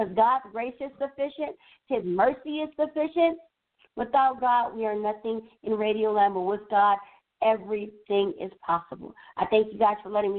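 A woman speaks in a normal speaking voice. Her pace is moderate and her pitch variation ordinary. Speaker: radio co-host. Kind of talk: radio talk and Bible teaching. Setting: radio studio. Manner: upbeat, chatty.

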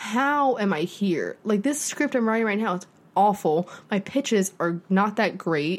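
A woman, in an ordinary speaking voice, uses lively intonation and talks at a fairly slow pace. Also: medium pitch for a woman. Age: 20s. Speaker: podcast co-host, aspiring screenwriter. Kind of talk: casual chat.

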